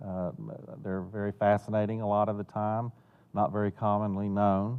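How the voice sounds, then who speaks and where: Speaking with a Southern US accent, a man keeps a monotone, flat intonation, a fairly low pitch and a moderate pace. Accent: Southern US accent (self-noted). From Florida and North Carolina. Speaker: financial planner and benefactor. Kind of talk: interview. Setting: theater. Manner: hesitant, many fillers and repeats.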